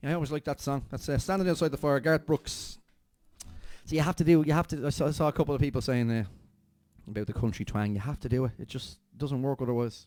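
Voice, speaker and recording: A man's very fast speech in an Irish accent, fairly high in pitch with ordinary pitch variation, on a very clean recording with a silent background. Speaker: acoustic duo musician. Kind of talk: casual chat. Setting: live stream.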